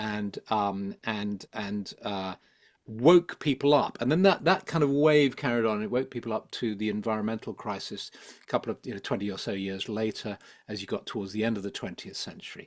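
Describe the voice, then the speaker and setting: With a London accent, a man talks at a moderate pace in a fairly low pitch with ordinary pitch variation. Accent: southern English (London). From London, England. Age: 70s. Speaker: psychologist and spiritual teacher. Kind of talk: interview conversation. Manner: hesitant, many fillers and repetitions.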